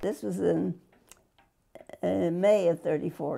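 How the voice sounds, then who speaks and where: A woman talks at a very slow pace. She speaks with an American accent. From Fresno, California. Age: 80s+. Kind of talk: interview answer.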